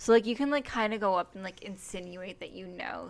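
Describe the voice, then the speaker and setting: In a very clean recording with a silent background, a woman with a medium pitch and a normal speaking voice speaks at a fairly quick pace. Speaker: podcast co-host. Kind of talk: casual chat.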